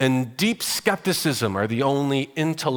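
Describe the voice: Simple reading aloud, intonation lively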